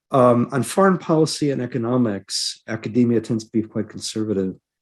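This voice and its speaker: This man has a normal speaking voice at a medium pitch. His pace is moderate and his pitch variation is ordinary. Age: 60s. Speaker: professor and historian. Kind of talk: panel discussion.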